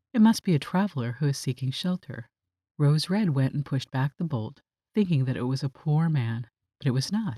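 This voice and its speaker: A woman with a very deep, low pitch and a somewhat breathy voice speaks at a moderate pace with lively intonation. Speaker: voice actor. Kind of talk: bedtime story reading.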